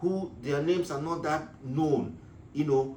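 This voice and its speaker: A man speaks at a fairly slow pace with a fairly high pitch and ordinary pitch variation. Audible room echo and noticeable background noise surround him. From Nigeria. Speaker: business advice vlogger. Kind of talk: casual talk to camera. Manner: halting, many fillers.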